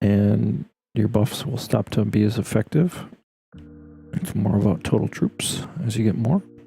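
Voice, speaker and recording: A man, fairly low in pitch, with lively intonation, a fairly slow pace and long, frequent pauses, over music in the background. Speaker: gaming streamer. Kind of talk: live stream commentary. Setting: Discord call during live stream.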